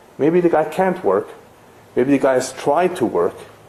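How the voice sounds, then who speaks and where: Fairly quick male speech over noticeable background noise. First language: not English. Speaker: rabbi teaching a lecture series. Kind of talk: lecture.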